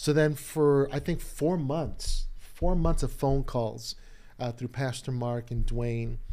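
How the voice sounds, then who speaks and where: With music in the background, a man speaks in fairly even intonation. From Chicago (Humboldt Park), Puerto Rican family. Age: 50s. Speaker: pastor. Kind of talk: casual chat. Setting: studio.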